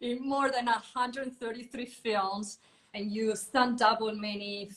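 This woman has a fairly high pitch and an Italian accent. Her intonation stays fairly even. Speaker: podcast host. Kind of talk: interview. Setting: video call.

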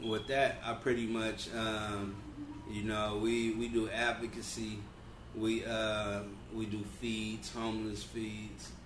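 A man with an American accent speaks at a very slow pace in a fairly low pitch. His intonation is flat and monotone, and the room echo is audible. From Los Angeles (Compton, South Central). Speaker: barbershop owner and entrepreneur. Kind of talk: casual interview about life story.

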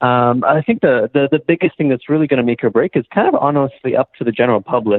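Using a plain, everyday voice, this man keeps a moderate pace and ordinary pitch variation. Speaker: doctor. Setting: phone call.

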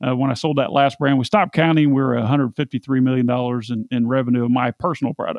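With an American accent, a man speaks at a medium pitch with fairly even intonation and hardly any pauses. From US Midwest, central Indiana. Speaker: e-commerce entrepreneur. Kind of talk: casual interview.

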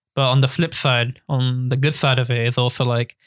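A man with a London accent speaks at a medium pitch and a moderate pace, in a dry, close sound with no echo on a very clean recording with a silent background. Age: 20s. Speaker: photographer and YouTuber. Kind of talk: casual chat.

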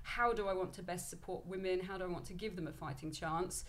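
Her pitch fairly low and her intonation fairly even, a woman speaks at a fairly quick pace with audible room echo. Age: 30s. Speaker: business founder and fitness coach. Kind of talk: casual interview.

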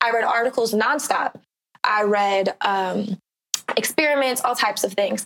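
A woman's fairly high voice at a very even loudness, an ordinary speaking voice. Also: ordinary pitch variation, moderate pace. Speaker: broadcasting student. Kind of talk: casual interview.

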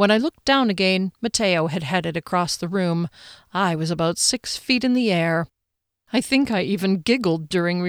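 The clip is reading aloud in a natural voice against a quiet background.

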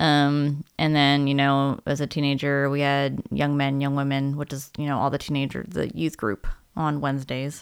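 Against a silent background on a very clean recording, a woman with an American accent speaks in a very deep, low pitch with fairly even intonation. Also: moderate pace. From US Mid-Atlantic (Maryland). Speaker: podcast host. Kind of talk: casual chat.

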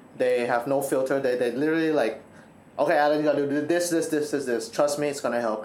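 Very fast and very even in loudness, a man speaks at a fairly high pitch with ordinary pitch variation, and room echo is audible. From Thailand. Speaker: university student. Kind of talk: casual chat.

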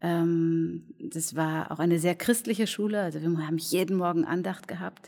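Speaking at a moderate pace, a woman with a fairly low pitch uses ordinary pitch variation. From Germany, near Cologne. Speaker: cabaret artist and clown. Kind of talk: casual interview. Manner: reserved; halting.

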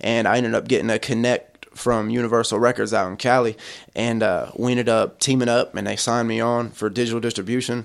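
Talking at a very fast pace, the man has a medium-pitched voice. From Ohio. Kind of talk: casual interview chat. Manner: animated.

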